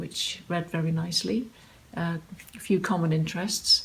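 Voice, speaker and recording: A woman speaks in a southern English accent at a moderate pace. Her voice is somewhat breathy and fairly low, with ordinary pitch variation. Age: 60s. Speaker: online dater. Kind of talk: interview answer.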